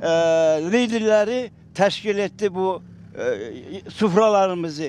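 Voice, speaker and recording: A man's voice, high in pitch for a man. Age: 80s+. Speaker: deportation survivor. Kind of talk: interview testimony.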